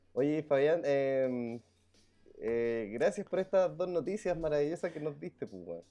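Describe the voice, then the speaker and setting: Music plays behind a man who speaks at a fairly slow pace. His intonation is lively, and his loudness swings widely. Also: fairly high pitch for a man. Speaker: podcast co-host. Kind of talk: casual chat.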